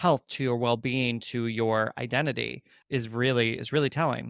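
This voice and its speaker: Using a normal speaking voice, a man at medium pitch keeps a moderate pace and fairly even intonation, captured as a very clean recording with a silent background and a dry, close sound with no echo. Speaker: podcast host, former conservatory director. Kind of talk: interview question, conversational.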